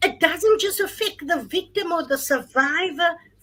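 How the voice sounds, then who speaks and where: A woman's extremely high, bright and sharp voice, raised and projected, with ordinary pitch variation. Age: 50s. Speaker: gender-based violence advocate. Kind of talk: panel discussion.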